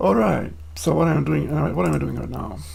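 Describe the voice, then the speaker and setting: Amid noticeable background noise and audible room echo, a man with a non-native accent speaks with very wide pitch swings. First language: not English. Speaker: programmer streaming own coding. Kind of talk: live coding stream. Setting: home desk, live stream. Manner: casual, with fillers.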